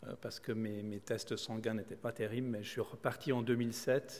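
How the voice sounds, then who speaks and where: With a Swiss accent, a man of medium pitch talks at a fairly quick pace in monotone, flat intonation. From Switzerland. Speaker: kidney transplant recipient and solo sailor. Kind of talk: conference talk. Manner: halting, many repetitions and hesitations.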